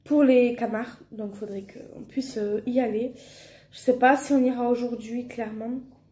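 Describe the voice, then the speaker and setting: A woman's high-pitched voice with a dark, mellow tone, in a southern French accent at a fairly slow pace. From southern France. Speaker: family vlogger. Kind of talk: casual vlog talk. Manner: hesitant, many fillers.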